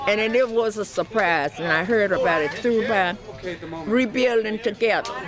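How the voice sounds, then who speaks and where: A woman's fairly high-pitched voice with lively intonation at a moderate pace, crowd noise in the background. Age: 80s+. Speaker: homeowner helped by a charity. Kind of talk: interview testimony.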